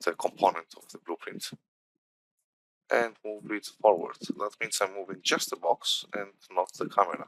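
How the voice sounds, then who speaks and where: A man with a non-native accent speaks at a moderate pace with big swings in loudness, the sound dry and close with no echo. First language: not English. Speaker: game development instructor. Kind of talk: tutorial. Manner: halting, many fillers.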